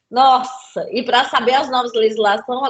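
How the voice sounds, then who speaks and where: The woman's voice is high in pitch, and she talks at a moderate pace. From Brazil, Center-West (Cuiabá, Goiânia). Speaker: safety and environmental engineer, lecturer. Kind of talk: interview.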